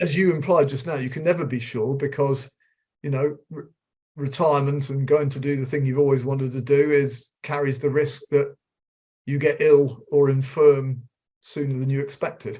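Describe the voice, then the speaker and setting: This man has a dark, mellow tone at a fairly high pitch, somewhat breathy. His intonation stays monotone and flat. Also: moderate pace. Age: 60s. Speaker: emeritus professor of occupational psychology. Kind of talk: interview. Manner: halting, many repetitions.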